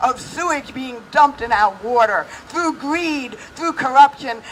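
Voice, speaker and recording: The speaker has an American accent, with noticeable background noise in the clip. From New York, Brooklyn. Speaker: political activist. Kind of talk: rally speech. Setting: outdoors. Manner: animated.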